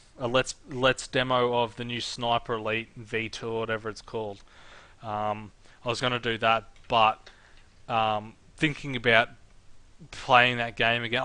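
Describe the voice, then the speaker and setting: A man speaks loudly in a bright, sharp tone at a medium pitch. He keeps a moderate pace. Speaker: gaming YouTuber. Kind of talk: casual let's play commentary. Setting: at home alone. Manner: halting.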